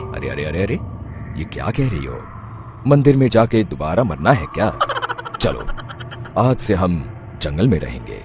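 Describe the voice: A man speaks in a cartoonish character voice, very deep and low, with very wide pitch swings. His pace is moderate, broken by long, frequent pauses, over clear background noise.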